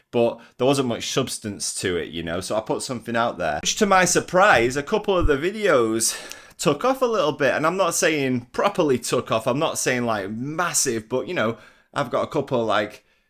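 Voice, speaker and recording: Vocal fry colors a voice in an English accent that shows very wide pitch swings. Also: man, fairly high pitch for a man, moderate pace. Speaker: vlogger. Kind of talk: casual vlog monologue. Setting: walking around at home. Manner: energetic, intense.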